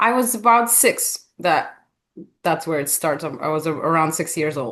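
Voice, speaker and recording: A woman speaks in a Russian accent with a fairly low pitch. Her pace is fairly slow and her intonation lively. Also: quiet background. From Russia and former Soviet states. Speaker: author and hospitality leader. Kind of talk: podcast interview.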